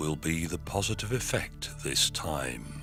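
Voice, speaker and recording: Music plays in the background. A man with an English accent speaks at a fairly slow pace. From England. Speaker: hypnotherapist. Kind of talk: guided hypnosis. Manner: slow, calm, soothing.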